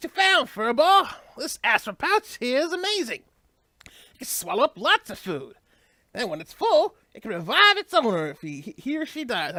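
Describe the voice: Using a put-on character voice, the speaker moves at a moderate pace with very wide pitch swings. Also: female-sounding voice, high pitch for a woman.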